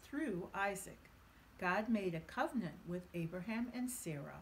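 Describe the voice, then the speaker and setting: Somewhat breathy, a woman talks at a fairly slow pace with lively intonation over light background noise. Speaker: author reading her own book. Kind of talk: children's bedtime story reading. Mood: gentle, warm bedtime storytelling. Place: home room.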